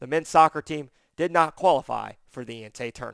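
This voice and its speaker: A man speaks in a plain, everyday voice at a fairly high pitch and a fairly quick pace, with ordinary pitch variation. The recording is very clean with a silent background and a dry, close sound with no echo. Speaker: sports reporter. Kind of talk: sports news update.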